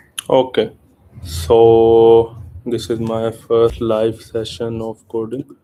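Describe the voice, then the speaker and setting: Speaking at a very slow pace, a man with an Indian accent has a dark, mellow tone at a medium pitch. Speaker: programmer. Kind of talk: live coding stream.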